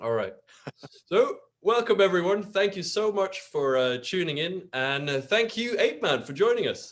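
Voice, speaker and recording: Here a man with a British accent speaks at a moderate pace. His pitch is high and his intonation lively. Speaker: health app podcast host. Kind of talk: interview. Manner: halting.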